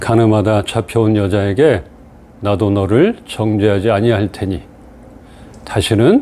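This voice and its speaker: Fairly low-pitched male voice, fairly slow pace and fairly even intonation, noticeable background noise. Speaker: pastor. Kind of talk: sermon.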